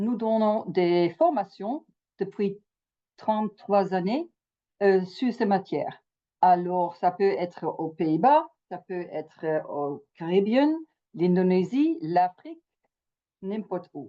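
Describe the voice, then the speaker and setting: A woman speaks at a very slow pace, with long, frequent pauses. Her pitch is medium and her intonation lively. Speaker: mediator and trainer. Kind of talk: webinar presentation. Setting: video call. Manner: halting.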